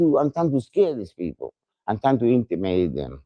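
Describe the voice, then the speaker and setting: With a dark, mellow tone, a man speaks at a medium tempo. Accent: Spanish. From Puerto Rico. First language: Spanish. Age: 70s. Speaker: exonerated death row survivor. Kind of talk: testimony. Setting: outdoors at a rally.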